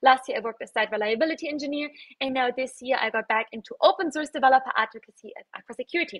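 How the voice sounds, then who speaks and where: A woman speaks at a very fast pace with a high pitch against a quiet background. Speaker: conference presenter. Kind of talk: conference talk.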